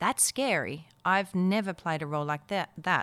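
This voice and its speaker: A woman speaks with an Australian accent at a moderate pace and ordinary pitch variation. The recording is very clean, with a silent background. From Netherlands, moved to Perth, Australia at twelve. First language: Dutch. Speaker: actor, voiceover artist and MC. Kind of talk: interview.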